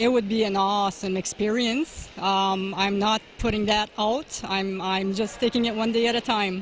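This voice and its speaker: Delivered at a moderate pace with hardly any pauses, the voice keeps a fairly even intonation and very even loudness. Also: woman, medium pitch for a woman. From Timmins, Northern Ontario, Canada. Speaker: amateur arm wrestler. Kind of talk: interview at competition. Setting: event venue, red carpet.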